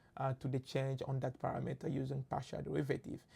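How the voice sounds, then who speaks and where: A woman's very deep, low voice with vocal fry and a dark, mellow tone, at a fairly quick pace, on a very clean recording with a silent background. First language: French. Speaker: machine learning instructor. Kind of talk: lecture. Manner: halting, with many fillers.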